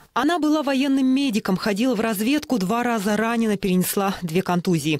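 A man's high voice moves at a fairly quick pace, its intonation lively. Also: very even loudness. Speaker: news reporter. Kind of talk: TV news voice-over.

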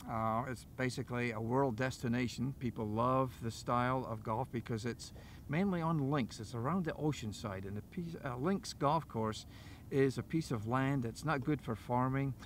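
Against light background noise, a man speaks in a Scottish accent at a moderate pace. The sound is dry with no echo, and his pitch varies in an ordinary way. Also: medium pitch for a man. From Dundee, Scotland. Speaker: golf teaching professional. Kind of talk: interview answer. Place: open country. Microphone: lapel.

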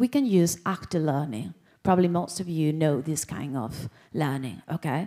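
Against a quiet background, a woman speaks with a dark, mellow tone. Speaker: presenter. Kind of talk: lecture. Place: hall.

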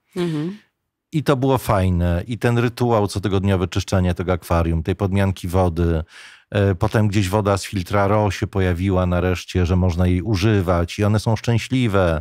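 This man talks at a moderate pace in a very deep, low voice with ordinary pitch variation. The sound is dry with no echo, over a quiet background. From Poland. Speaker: radio journalist, voice actor. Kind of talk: podcast interview answer. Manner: casual, anecdotal. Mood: relaxed, smiling storytelling. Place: studio. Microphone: studio mic.

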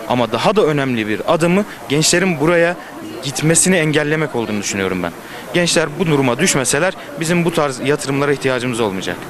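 Over noticeable background noise in a dry recording with no echo, a man talks very fast with lively intonation and fairly high pitch. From eastern Turkey. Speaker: youth foundation representative. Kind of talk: street interview. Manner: articulate. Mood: serious, earnest. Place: street. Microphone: handheld.

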